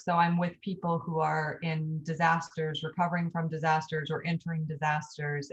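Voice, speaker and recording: A somewhat breathy voice at a moderate pace. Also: woman. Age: 40s. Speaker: author and EMT. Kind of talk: interview.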